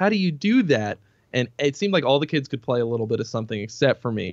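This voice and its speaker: In a dry, close recording with no echo, a man with an American accent speaks using lively intonation. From US Northeast, Boston suburbs. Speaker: metal guitarist and singer. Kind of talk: casual interview.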